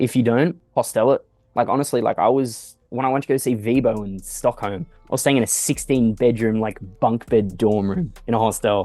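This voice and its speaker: Music plays in the background as a man speaks with an Australian accent. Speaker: music producer. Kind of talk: casual interview. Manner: fast, casual with fillers.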